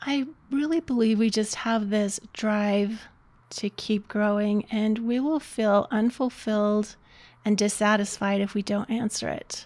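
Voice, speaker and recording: Her voice is fairly high for a woman, an unremarkable speaking voice. She talks at a fairly slow pace with fairly even intonation. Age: 60s. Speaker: life coach. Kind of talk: casual interview.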